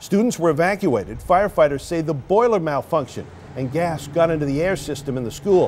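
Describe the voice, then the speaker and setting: A plain, everyday voice. It moves at a fairly quick pace with lively intonation. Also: man. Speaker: television news anchor. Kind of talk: TV news anchor delivery.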